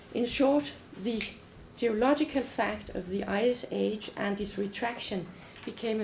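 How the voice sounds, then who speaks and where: Noticeable background noise sits behind a woman who speaks at a moderate pace with ordinary pitch variation. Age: old. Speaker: anthropology professor. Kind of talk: academic lecture. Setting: lecture hall with audience.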